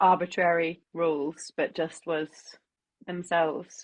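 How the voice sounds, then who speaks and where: A woman speaks with an Australian accent at a fairly low pitch. Her pace is fairly slow, her intonation fairly even, and the background quiet. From Australia, Townsville. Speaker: musician and interviewer. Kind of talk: interview. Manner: gets louder when tired.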